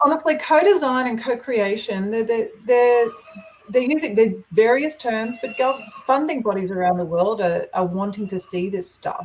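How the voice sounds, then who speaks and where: A woman with an Australian accent, fairly high-pitched, with lively intonation. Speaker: health researcher. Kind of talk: webinar Q&A. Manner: fast, animated.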